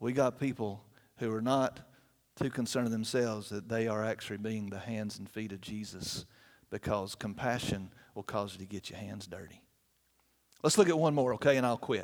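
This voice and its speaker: On a very clean recording with a silent background, a man with a Southern US accent speaks at a moderate pace in a medium-pitched voice with ordinary pitch variation. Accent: US South. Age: 50s. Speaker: guest preacher for a children's charity. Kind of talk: sermon. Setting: church.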